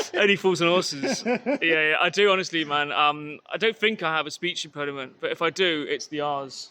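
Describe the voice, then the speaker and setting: In a very clean recording with a silent background, a man with a West Country accent speaks at a high pitch with ordinary pitch variation. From Exeter, Devon, south-west England. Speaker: podcast host. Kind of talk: casual chat. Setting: outdoors. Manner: hesitant, filler-heavy.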